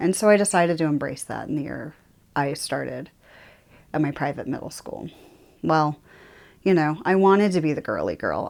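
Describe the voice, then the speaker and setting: On a very clean recording with a silent background, a woman talks at a fairly low pitch with ordinary variation and an American accent. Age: 30s. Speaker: YouTuber. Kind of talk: personal monologue to camera. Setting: home office. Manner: loud; casual, with fillers.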